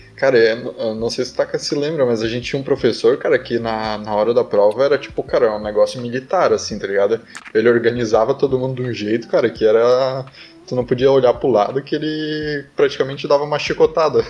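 Fairly quick, fairly even speech from a man at medium pitch, over noticeable background noise. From southern Brazil. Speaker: engineering student. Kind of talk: casual chat. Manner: casual, filler-heavy speech.

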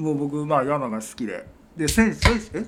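With a Kansai accent, a man talks at a fairly slow pace in a somewhat breathy voice. His fairly high pitch moves in very wide swings. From Wakayama, Japan. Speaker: hiking group leader and construction site foreman. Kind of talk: casual chat.

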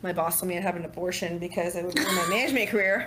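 With an American accent, a woman speaks at a very fast pace and medium pitch amid noticeable background noise and audible room echo. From California. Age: 30s. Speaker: single mother and bartender. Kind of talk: casual interview. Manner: animated.

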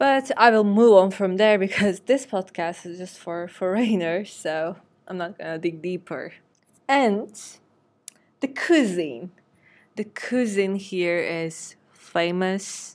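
A woman's medium-pitched voice with a Turkish accent, very slow, with big swings in loudness, in a very clean recording over a silent background. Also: ordinary pitch variation. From Turkey. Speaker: podcast host. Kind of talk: casual monologue. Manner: hesitant with fillers.

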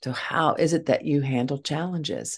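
A woman's vocal fry with lively intonation over a quiet background. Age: 60s. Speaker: grief podcast host and speaker. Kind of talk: solo motivational talk.

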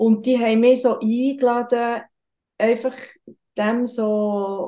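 Very slowly and in a Bernese accent, a woman speaks at a fairly high pitch with a dark, mellow tone. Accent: Bernese Swiss German dialect. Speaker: tantra massage practitioner. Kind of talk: casual interview.

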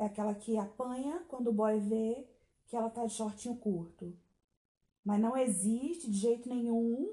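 A woman speaks at a fairly slow pace and fairly high pitch, with ordinary pitch variation and a dark, mellow tone. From Brazil. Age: 30s. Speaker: podcast host. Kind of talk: solo monologue commentary. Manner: animated.

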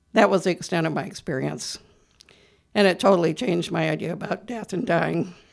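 A woman with an American accent talks at a fairly quick pace. Her voice is fairly low with vocal fry. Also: ordinary pitch variation. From US Midwest (Iowa). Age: 70s. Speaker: artist and actress. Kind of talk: radio interview. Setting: radio studio.

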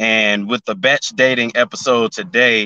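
With a Southern US accent, a man talks at a medium pitch and a fairly slow pace, using ordinary pitch variation. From Memphis, Tennessee. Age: 20s. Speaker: YouTuber and musician. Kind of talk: casual chat.

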